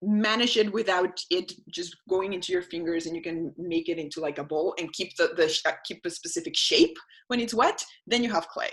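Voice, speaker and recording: A woman speaks with a non-native accent. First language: not English. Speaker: environmental educator. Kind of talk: webinar presentation. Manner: halting.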